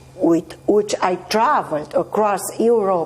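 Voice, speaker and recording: A woman in a Romanian accent, with noticeable background noise. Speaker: actress. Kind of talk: interview. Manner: halting.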